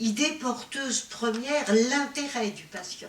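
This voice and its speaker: A woman with ordinary pitch variation amid noticeable background noise and audible room echo. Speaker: patient advocacy association president. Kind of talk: conference talk. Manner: hesitant, many fillers.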